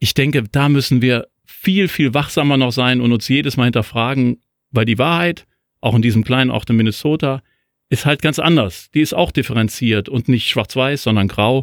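Speaking at a moderate pace with lively intonation, a man at medium pitch is heard in a dry, close sound with no echo. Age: 50s. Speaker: newspaper editor-in-chief. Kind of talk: casual political discussion. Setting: remote call between two cities. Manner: hesitant, many fillers.

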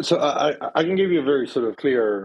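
A man with a Spanish accent. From Chile. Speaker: company founder and CEO. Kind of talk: interview.

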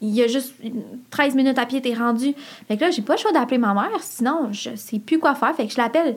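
In a Quebec accent, a woman speaks fairly quickly at a high pitch with ordinary pitch variation, over noticeable background noise. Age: 20s. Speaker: podcast listener guest. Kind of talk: casual chat. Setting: studio.

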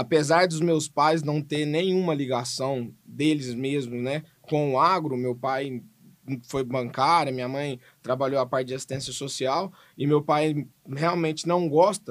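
On a very clean recording with a silent background, a man with an unremarkable speaking voice talks fairly slowly at a fairly high pitch, his intonation fairly even. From Goiânia, Brazil. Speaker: podcast host and animal scientist. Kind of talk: casual podcast conversation.

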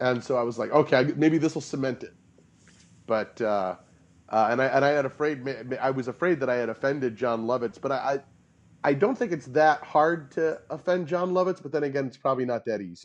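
A man's normal speaking voice at medium pitch, with ordinary pitch variation and a fairly quick pace. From US Midwest (St. Louis). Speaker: improv teacher and actor. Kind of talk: interview.

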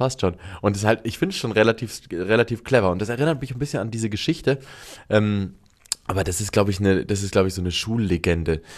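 Pitch moves with ordinary variation. The words come at a very fast pace. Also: man, fairly low pitch for a man. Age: 30s. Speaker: podcast co-host. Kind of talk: casual chat.

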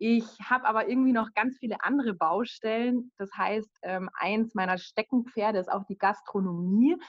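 A woman with a plain, everyday voice, a fairly high pitch and ordinary pitch variation. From Bavaria, village near Munich. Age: 30s. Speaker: virtual assistant. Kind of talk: casual interview.

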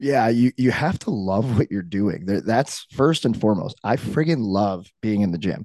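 A man with an American accent talks at a moderate pace, his fairly low voice dark and mellow with lively intonation. He hardly pauses, and the background is quiet. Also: dry, close sound with no echo. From Saint Louis, US Midwest. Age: 30s. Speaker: retired pro hockey player and strength coach. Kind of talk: casual chat.

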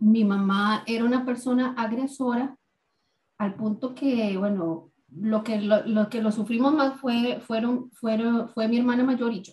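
With fairly even intonation and a fairly slow tempo, it is an unremarkable speaking voice. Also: woman, fairly high pitch for a woman. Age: 40s. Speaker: recovering addict sharing faith story. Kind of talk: testimony.

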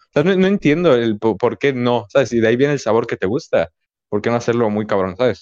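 A man talking at a fairly quick pace, his intonation lively. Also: big swings in loudness. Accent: Mexican. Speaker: podcast host. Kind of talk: casual chat.

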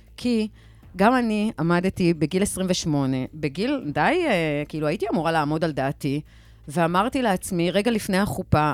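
In a very clean recording with a silent background, a woman with a normal speaking voice talks fairly slowly, her fairly low pitch carrying lively intonation. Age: 50s. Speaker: PR consultant. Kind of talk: panel discussion. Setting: radio studio.

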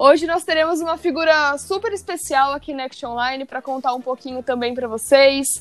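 Talking at a fairly quick pace with hardly any pauses, a woman uses a high pitch, ordinary pitch variation and big swings in loudness. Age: 20s. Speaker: podcast host from company communications team. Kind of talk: corporate podcast interview.

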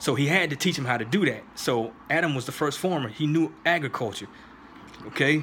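The speech moves at a fairly quick pace with ordinary pitch variation, over noticeable background noise. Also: man, fairly high pitch for a man. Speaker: YouTube commentator responding to a video. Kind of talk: response video commentary with Bible reading.

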